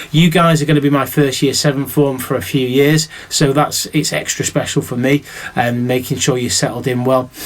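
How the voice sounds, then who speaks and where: A man with a Mancunian accent, fairly high pitch, ordinary pitch variation and a moderate pace. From Manchester, northern England. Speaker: teacher. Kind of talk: recorded welcome address to pupils. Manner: animated, chatty.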